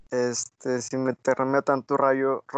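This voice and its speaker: Over a quiet background, a man talks very slowly at a medium pitch with monotone, flat intonation, and the sound is dry and close with no echo. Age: 20s. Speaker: engineering student. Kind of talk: casual chat.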